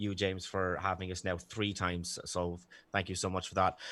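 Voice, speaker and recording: In a very clean recording with a silent background, a speaker with an Irish accent talks in a bright, sharp tone. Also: man. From Ireland. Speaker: debater. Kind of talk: opening statement in a debate. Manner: hesitant, many fillers.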